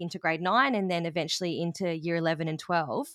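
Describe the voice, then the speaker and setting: In an Australian accent, a woman speaks at a fairly quick pace with a dry, close sound with no echo on a very clean recording with a silent background. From rural Australia. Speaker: language teacher and education business owner. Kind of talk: interview.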